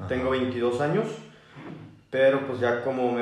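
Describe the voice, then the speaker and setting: Audible room echo and noticeable background noise fill the recording. A man talks through them at a moderate pace. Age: 20s. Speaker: university student. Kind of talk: casual chat.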